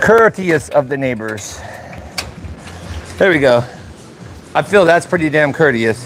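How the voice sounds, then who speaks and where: Over music in the background, a loud man with a fairly high pitch and lively intonation speaks at a fairly slow pace, leaving long, frequent pauses. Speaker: car mechanic livestreamer. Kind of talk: live stream tutorial. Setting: garage. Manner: casual.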